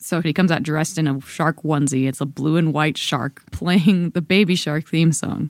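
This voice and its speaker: A woman with an American accent speaks at a very deep, low pitch with fairly even intonation and hardly any pauses. The recording is very clean, with a silent background. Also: moderate pace, dry, close sound with no echo. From Georgia, US. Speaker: baseball beat reporter. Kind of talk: casual chat.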